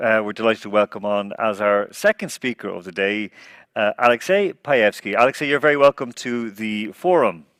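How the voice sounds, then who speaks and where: Speaking at a fairly quick pace with an Irish accent, a man has a medium pitch and ordinary pitch variation, in a very clean recording with a silent background and a dry, close sound with no echo. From Ireland. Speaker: forum host. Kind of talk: forum moderation.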